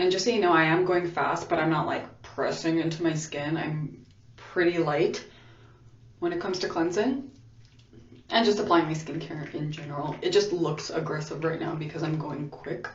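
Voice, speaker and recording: A woman's fairly low voice at a moderate pace, ordinary pitch variation, audible room echo and noticeable background noise. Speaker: beauty vlogger. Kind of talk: tutorial. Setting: bathroom. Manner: casual, conversational.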